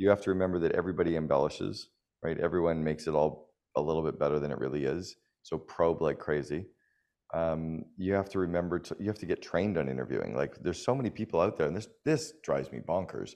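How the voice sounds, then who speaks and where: Very fast and very deep, a man with a Canadian accent speaks with vocal fry and ordinary pitch variation. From Canada. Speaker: business coach and author. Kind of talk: interview.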